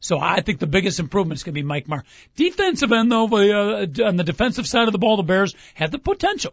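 This man talks at a very fast pace with lively intonation. His pitch is high. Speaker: sports talk radio host. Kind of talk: casual sports talk radio show. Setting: studio.

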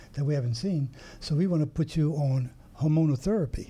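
Fairly quick, somewhat breathy speech from a man with a fairly high pitch, a dark, mellow tone and ordinary pitch variation. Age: 80s+. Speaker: retired army colonel, cancer survivor. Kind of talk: interview.

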